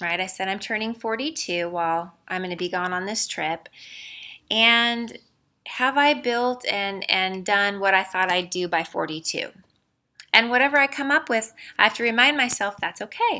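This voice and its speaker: On a very clean recording with a silent background, a woman speaks at a moderate pace in a bright, sharp tone. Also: medium pitch for a woman, lively intonation. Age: 40s. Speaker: podcast host and salon business owner. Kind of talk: solo podcast monologue. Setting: conference center in her building, not studio.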